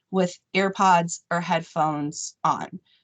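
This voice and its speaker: A woman with a fairly low pitch, ordinary pitch variation and an unremarkable speaking voice. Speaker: operating room nurse educator. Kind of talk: staff training meeting.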